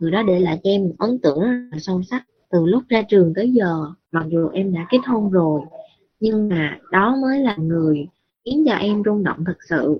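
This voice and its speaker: A woman has an ordinary speaking voice at medium pitch. She talks at a moderate pace with lively intonation. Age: 20s. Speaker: listener sharing personal story. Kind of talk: personal testimony.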